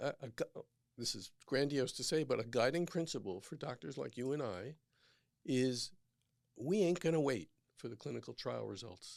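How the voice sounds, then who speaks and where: Vocal fry marks this man's voice. His intonation is lively. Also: medium pitch for a man. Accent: New York. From New York. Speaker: physician. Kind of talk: casual chat. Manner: fast; animated.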